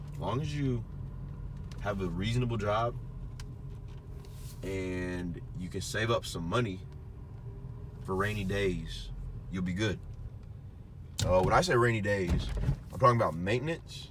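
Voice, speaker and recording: A fairly low-pitched man with lively intonation and long, frequent pauses, in audible room echo. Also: moderate pace. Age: 20s. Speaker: car reviewer. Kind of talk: casual talk-to-camera review. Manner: halting, many fillers.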